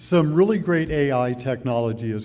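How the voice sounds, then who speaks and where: Audible room echo surrounds a man's dark, mellow voice as he speaks at a fairly slow pace with ordinary pitch variation. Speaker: healthcare provider, informaticist. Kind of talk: panel discussion. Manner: loud.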